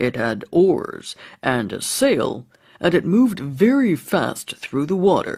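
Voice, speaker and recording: A man uses a put-on character voice at a high pitch. He moves at a fairly slow pace with very wide pitch swings. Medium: read story.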